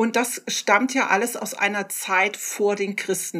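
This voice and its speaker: A woman at a medium pitch and a very slow pace, with noticeable background noise. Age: 50s. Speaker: podcast co-host. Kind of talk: casual chat.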